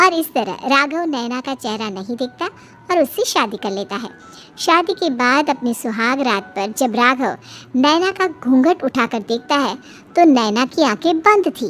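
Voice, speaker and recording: Over clear background music, a female-sounding voice performs a high-pitched cartoonish character. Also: moderate pace. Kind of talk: children's moral story narration.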